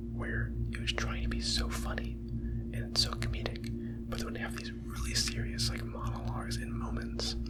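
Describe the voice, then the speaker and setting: Over noticeable background noise, the whispering moves along at a moderate pace. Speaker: ASMR YouTuber. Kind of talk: ASMR anime review ramble. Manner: whispered.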